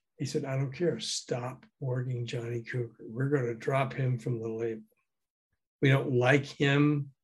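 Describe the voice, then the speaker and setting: With an American accent, a man speaks at a fairly slow pace in a somewhat breathy voice with fairly even intonation. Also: medium pitch for a man. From US South, Memphis. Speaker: former radio DJ and music promoter, author. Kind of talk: interview, storytelling.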